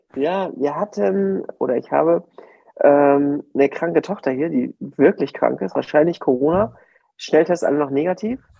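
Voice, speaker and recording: Using an ordinary speaking voice, a man talks at a moderate pace in a fairly high pitch with lively intonation. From northern Germany, Mecklenburg-Vorpommern. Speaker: podcast co-host. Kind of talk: casual chat. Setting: remote from home.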